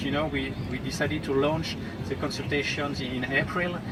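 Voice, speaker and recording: Fairly quick, lively intonation from a man at a fairly high pitch, with audible room echo and noticeable background noise. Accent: French. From France. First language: French. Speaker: diplomat. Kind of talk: talk at a public discussion. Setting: outdoor festival stage with audience. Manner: hesitant, with fillers.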